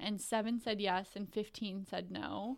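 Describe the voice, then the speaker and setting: In a normal speaking voice, a woman talks at medium pitch, her pitch varying in an ordinary way. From western Canada (grew up partly in Kelowna, BC). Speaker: team media personality. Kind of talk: casual sports chat.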